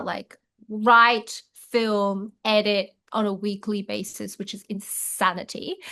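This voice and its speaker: Speaking with an Australian accent, a woman delivers her words at a very slow pace in a medium pitch with a bright, sharp tone and monotone, flat intonation over a quiet background. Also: big swings in loudness. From Chinese Australian. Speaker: actress and comedy creator. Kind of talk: interview answer. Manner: casual, chatty.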